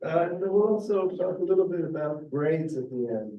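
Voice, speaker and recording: There is audible room echo around this man. He talks at a moderate pace with ordinary pitch variation. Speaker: chemistry professor. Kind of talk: lecture. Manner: halting, many fillers.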